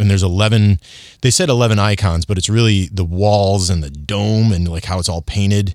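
This man has a normal speaking voice, fairly low in pitch, with fairly even intonation at a fairly quick pace. The recording is very clean, the background silent. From Michigan. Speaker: TV news reporter and food feature host. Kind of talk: casual interview chat.

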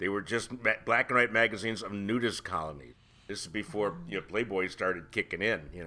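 A man with an American accent and fairly low pitch speaks at a fairly quick pace in a bright, sharp tone, with ordinary pitch variation and big swings in loudness, on a very clean recording with a silent background. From Ohio. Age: 70s. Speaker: podcast host. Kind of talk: casual chat.

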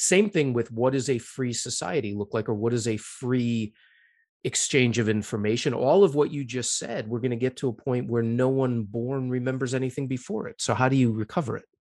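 A man speaks in a plain, everyday voice with an American accent and medium pitch. His pace is fairly quick, with ordinary pitch variation. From US. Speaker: podcast host and historian. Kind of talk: interview.

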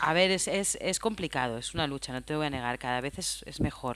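The pace is fairly quick as a woman talks. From Spain, Aragón (Huesca). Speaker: film sound mixer. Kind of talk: interview.

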